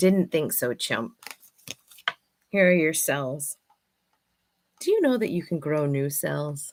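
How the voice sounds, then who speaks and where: Her pitch is very deep and low for a woman. She speaks at a very slow pace with long, frequent pauses. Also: ordinary pitch variation. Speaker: affirmation card reader / vlogger host. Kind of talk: casual monologue with affirmation card readings. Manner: loud.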